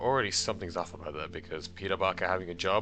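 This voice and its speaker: Very fast and very deep, a man's low-pitched voice moves with ordinary pitch variation. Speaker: video essayist. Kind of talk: video essay commentary.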